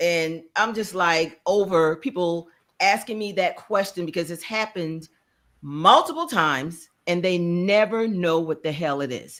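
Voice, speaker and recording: This woman has a slight Charleston accent and a fairly low pitch. She talks at a fairly slow pace with ordinary pitch variation. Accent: slight Charleston, South Carolina. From US South, Charleston, South Carolina. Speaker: podcast co-host. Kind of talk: casual chat.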